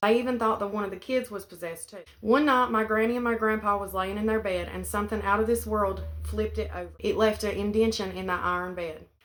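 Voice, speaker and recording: Speaking very fast, a woman uses a medium pitch. She talks with an Appalachian accent. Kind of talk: family ghost story told to camera.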